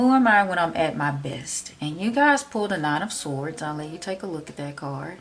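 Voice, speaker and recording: Noticeable background noise sits behind a woman with a Southern US accent who speaks at a moderate pace with very wide pitch swings. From Memphis, Tennessee. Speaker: tarot reader. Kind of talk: tarot reading talk to camera.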